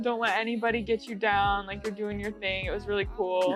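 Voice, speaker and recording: A woman with an American accent at a fairly quick pace, with fairly even intonation and music in the background. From Oregon, USA. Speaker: singer-songwriter. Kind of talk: interview answer. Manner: casual, chatty.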